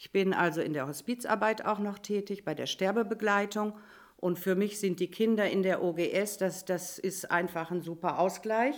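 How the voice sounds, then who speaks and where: A woman speaks in an ordinary speaking voice at a medium pitch, with ordinary pitch variation and a moderate pace. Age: 60s. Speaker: volunteer homework helper. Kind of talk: casual panel chat.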